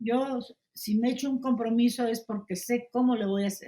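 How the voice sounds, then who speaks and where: At a moderate pace, a woman with a high pitch and a dark, mellow tone speaks with ordinary pitch variation. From Poland. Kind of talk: interview answer.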